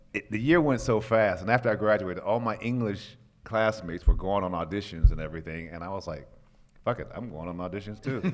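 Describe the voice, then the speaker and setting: In a Chicago accent, this speaker's loudness swings widely while the pitch varies in an ordinary way, over a quiet background. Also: man. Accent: Chicago American. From Chicago, US Midwest. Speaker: actor. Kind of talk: interview anecdote. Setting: comic convention panel.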